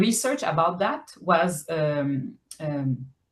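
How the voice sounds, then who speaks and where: The speaker has a French accent. The intonation is lively. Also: woman. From Quebec, island in the St. Lawrence. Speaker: novelist. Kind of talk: interview. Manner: halting, many fillers and repetitions.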